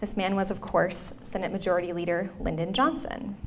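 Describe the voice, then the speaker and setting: A woman with a Minnesotan accent at a moderate pace. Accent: Minnesota. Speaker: history professor. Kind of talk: lecture. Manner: uses fillers like um and uh.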